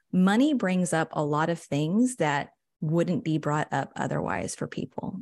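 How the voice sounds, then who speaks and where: A woman with an unremarkable speaking voice talks with lively intonation. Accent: American. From West Texas, San Angelo. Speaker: personal finance coach. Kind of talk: podcast interview.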